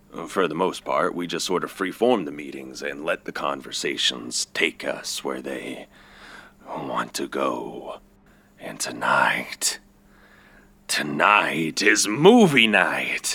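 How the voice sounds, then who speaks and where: With a very deep, low pitch, a man talks at a fairly slow pace, his loudness swinging widely. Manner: cheerful, folksy, unsettling.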